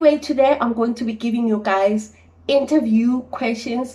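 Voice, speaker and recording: A woman speaks at a moderate pace in a fairly high, somewhat breathy voice with a dark, mellow tone and ordinary pitch variation. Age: 20s. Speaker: trainee accountant. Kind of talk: casual talk to camera.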